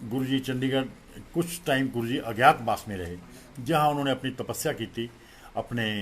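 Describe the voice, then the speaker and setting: Pausing long and often, a man speaks at a medium pitch with ordinary pitch variation. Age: 60s. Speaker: devotee and childhood friend of a guru. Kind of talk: spiritual testimony at a satsang.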